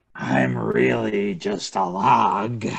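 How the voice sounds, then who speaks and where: A man's very deep, raspy put-on character voice with very wide pitch swings. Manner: feigned innocence.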